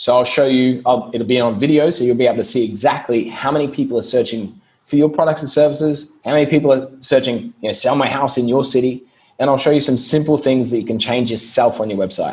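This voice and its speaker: At a very fast pace, a man speaks with fairly even intonation and medium pitch. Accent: Australian. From Australia, Brisbane. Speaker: SEO business owner. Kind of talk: podcast interview.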